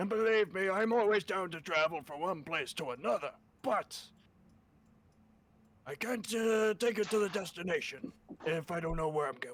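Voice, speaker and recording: Here a man puts on a character voice, high-pitched with lively intonation. He leaves long, frequent pauses. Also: moderate pace. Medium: actual play. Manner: casual, chatty.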